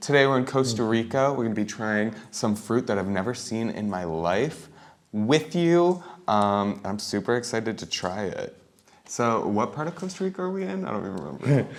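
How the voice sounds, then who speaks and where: A soft-spoken man's medium-pitched voice, with very wide pitch swings and a moderate pace. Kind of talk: casual talk to camera.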